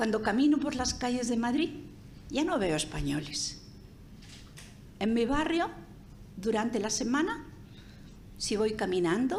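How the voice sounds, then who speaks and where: A woman with a high pitch talks at a fairly slow pace with very wide pitch swings, very even loudness and long, frequent pauses, and audible room echo surrounds her. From Spain. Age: 80s+. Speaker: sociologist speaker. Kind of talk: seminar talk.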